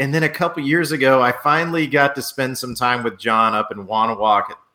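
A man's unremarkable speaking voice with lively intonation at a moderate pace. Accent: American. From New Orleans, US South.

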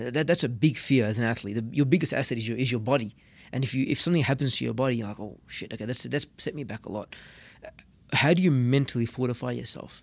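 The speaker talks at a very fast pace with ordinary pitch variation. Vocal fry is present. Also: man, medium pitch for a man. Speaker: podcast co-host. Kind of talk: casual interview.

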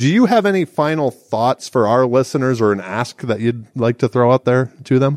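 Speaking at a fairly quick pace with hardly any pauses, a man uses an ordinary speaking voice of medium pitch and ordinary pitch variation, recorded with a dry, close sound and no echo. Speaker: podcast host. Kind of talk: interview conversation. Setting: conference in Miami Beach.

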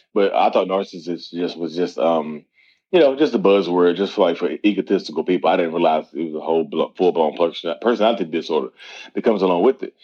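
This man's voice is very deep and low in pitch. He talks at a very fast pace with ordinary pitch variation. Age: 30s. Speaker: mental health content creator and coach. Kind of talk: podcast interview.

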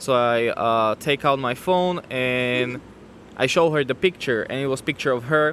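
A man speaks with a Slovak accent at a moderate pace. He hardly pauses at all. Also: medium pitch for a man, ordinary pitch variation. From Slovakia. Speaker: newlywed guest sharing his faith story. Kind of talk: testimony. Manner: halting.

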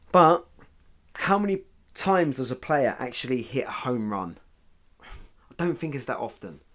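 A man's fairly high voice with a British accent and very wide pitch swings. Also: moderate pace. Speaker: football mindset podcaster. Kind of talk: pep talk. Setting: podcast recording. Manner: motivational, punchy, direct; conversational, cheeky humour.

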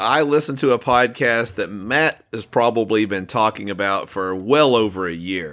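Here a man speaks at a moderate pace in a normal speaking voice, medium in pitch with ordinary variation and hardly any pauses. The recording is very clean, with a silent background. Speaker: podcast host. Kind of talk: casual chat.

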